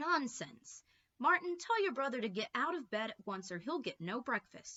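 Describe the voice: Putting on a character voice, a woman speaks at a moderate pace with a fairly high pitch, big pitch swings and a bright, sharp tone.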